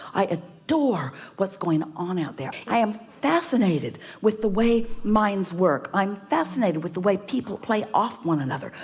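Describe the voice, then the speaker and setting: A woman talks at a fairly slow pace with lively intonation and a medium pitch. Hers is a plain, everyday voice. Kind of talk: spiritual teaching / workshop talk.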